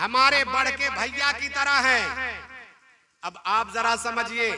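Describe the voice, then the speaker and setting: In an animated tone, a man uses a raised, projected voice at an extremely high pitch. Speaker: Islamic preacher giving a sermon. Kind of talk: religious sermon (bayan) to a live audience. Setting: live event or gathering with an audience. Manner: animated, rhetorical, asks the audience questions and calls for replies.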